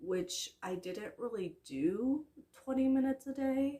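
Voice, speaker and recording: A woman's dark, mellow, somewhat breathy voice. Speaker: book vlogger. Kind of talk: casual monthly book wrap-up vlog. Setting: filming from bed at home.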